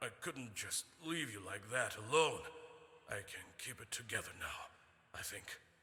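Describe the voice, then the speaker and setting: A man doing a put-on character voice speaks at a moderate pace and medium pitch, with lively intonation and big swings in loudness. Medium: video game. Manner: earnest.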